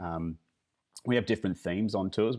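A man talks with an Australian accent. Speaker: luxury driving tour company founder. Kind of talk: interview. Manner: halting, many fillers and repetitions.

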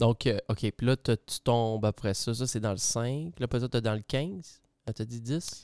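In a very clean recording with a silent background and a dry, close sound with no echo, a man with a Quebec accent speaks fairly slowly at medium pitch with ordinary pitch variation. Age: 30s. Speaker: podcast host. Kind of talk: casual interview.

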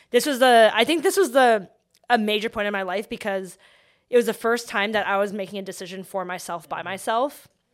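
A woman speaks at a fairly quick pace in an ordinary speaking voice, her pitch fairly high with ordinary variation. The recording is very clean, with a silent background. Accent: Canadian. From Vancouver, Canada. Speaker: startup founder. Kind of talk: interview.

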